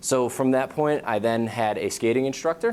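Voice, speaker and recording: A man speaks with a New England accent. His pace is fairly quick. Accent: New England American. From Western Massachusetts. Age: 20s. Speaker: brain injury prevention program manager. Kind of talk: talk to students. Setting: school audience.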